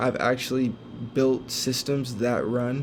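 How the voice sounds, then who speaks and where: The man talks at a fairly slow pace. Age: 20s. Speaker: former college athlete learning AI, content creator. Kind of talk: tutorial. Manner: halting with filler words.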